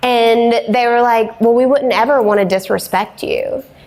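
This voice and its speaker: Amid noticeable background noise, a woman talks at a fairly slow pace in a high pitch. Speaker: business owner and agency CEO. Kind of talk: interview talk at a live event. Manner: loud; casual, many fillers.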